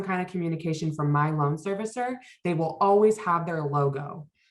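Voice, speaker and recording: This is a plain, everyday voice. Its intonation is lively. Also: woman. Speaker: financial wellness workshop presenter. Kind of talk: workshop presentation.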